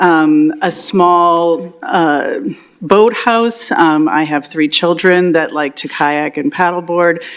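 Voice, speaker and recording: A woman speaks very slowly in a fairly low pitch, with noticeable background noise behind her. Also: ordinary pitch variation. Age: 60s. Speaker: property owner applying for variance. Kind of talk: public meeting testimony. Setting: council chambers meeting. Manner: hesitant, many fillers.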